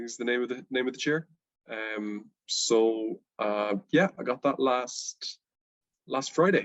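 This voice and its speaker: A man with a Dublin accent, speaking at a very slow pace. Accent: Irish (Dublin). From Ireland, Dublin. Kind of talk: interview.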